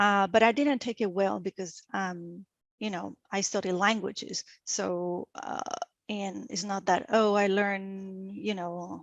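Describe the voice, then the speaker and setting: A woman with a Venezuelan accent at a fairly slow pace, fairly even intonation, dry, close sound with no echo and a quiet background. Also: medium pitch for a woman. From Venezuela (Caracas). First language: Spanish. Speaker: energy industry professional. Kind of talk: interview. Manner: halting, many fillers.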